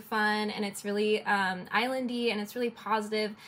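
A woman with a fairly high voice speaks at a fairly quick pace in a flat monotone, on a very clean recording with a silent background. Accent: American. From Detroit, US. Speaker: illustrator. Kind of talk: interview.

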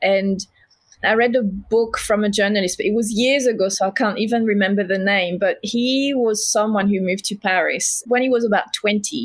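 The speaker has a French accent and fairly even intonation. The pace is moderate. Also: woman. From southern France. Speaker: homewares brand founder. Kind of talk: casual interview. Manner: talkative.

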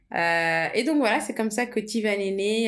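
Audible room echo surrounds the voice. Its pitch variation is ordinary. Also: woman. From Portugal (Lisbon), moved to France at 13. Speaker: entrepreneur, tea brand co-founder. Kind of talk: casual conversation, personal story.

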